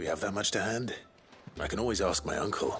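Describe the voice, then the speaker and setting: Putting on a raspy character voice at a medium pitch, a man talks at a very fast pace over clear background noise. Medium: short film. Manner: earnest.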